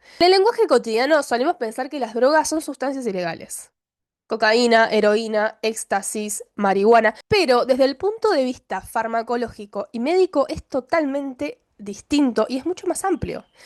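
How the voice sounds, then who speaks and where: Against a quiet background, a woman talks at a moderate pace. Her pitch is high. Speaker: doctor training in psychiatry, YouTuber. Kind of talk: educational video monologue. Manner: casual, with many fillers.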